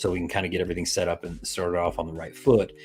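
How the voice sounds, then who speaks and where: This man's voice is very deep and low in pitch, and somewhat breathy. He talks at a very fast pace. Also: very clean recording, silent background. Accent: American. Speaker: crypto project owner. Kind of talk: live stream interview. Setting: live stream.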